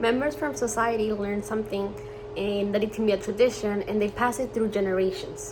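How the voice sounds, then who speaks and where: Over noticeable background noise, a woman speaks in a Spanish accent at a fairly quick pace. Her pitch is medium and her intonation fairly even. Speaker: student. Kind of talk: class presentation.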